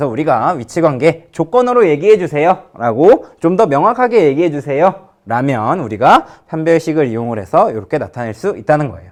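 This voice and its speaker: Fairly high in pitch, this man's voice swings very widely up and down. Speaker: high school math teacher. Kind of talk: lecture.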